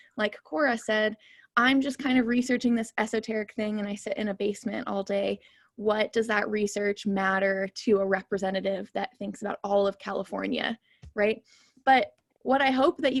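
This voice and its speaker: A woman speaks at a fairly high pitch with ordinary pitch variation, recorded dry and close with no echo. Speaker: geoscientist and science policy fellow. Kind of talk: online talk presentation. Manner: fast.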